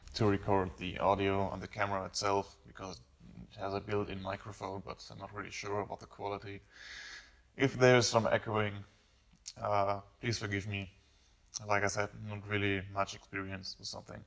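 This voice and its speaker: A man with a non-native accent speaks at a moderate pace and fairly low pitch, his intonation monotone and flat. His loudness swings widely, and his pauses are long and frequent. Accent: noticeable non-native English. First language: not English. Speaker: car hobbyist YouTuber. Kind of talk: casual vlog talk. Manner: halting, many fillers. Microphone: camera built-in microphone, possible echo.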